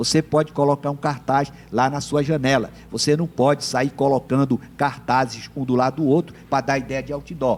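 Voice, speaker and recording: With a plain, everyday voice, a man speaks at a moderate pace and a fairly high pitch. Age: 60s. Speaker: political scientist and lawyer. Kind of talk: TV interview.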